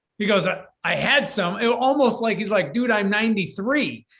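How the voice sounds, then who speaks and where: A high-pitched man with an American accent, in a room with audible echo. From Michigan, US Midwest. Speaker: business coach. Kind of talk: interview. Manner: animated.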